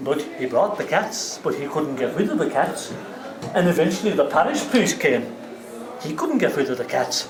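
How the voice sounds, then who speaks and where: With noticeable background noise behind him, a man speaks at a moderate pace in a high pitch that swings very widely. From Ireland. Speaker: traditional Irish storyteller. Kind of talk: live storytelling to a pub audience. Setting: pub, live audience.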